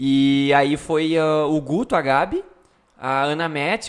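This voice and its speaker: This is an unremarkable speaking voice, and its pitch varies in an ordinary way. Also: man. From Rio Grande do Sul, Brazil (Sobradinho). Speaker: podcast host. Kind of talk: casual chat.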